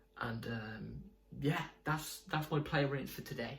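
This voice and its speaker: A man talks at a fairly quick pace with lively intonation, and audible room echo surrounds his voice. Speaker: football fan video creator. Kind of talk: casual fan match review. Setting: home at night.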